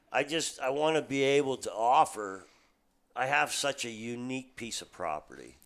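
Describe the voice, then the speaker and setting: Here is a man with an American accent and an unremarkable speaking voice, pitched at a medium level with ordinary pitch variation. He speaks at a moderate pace, with big swings in loudness. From central Pennsylvania. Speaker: cabin rental owner. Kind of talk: casual chat. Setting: fishing cabin.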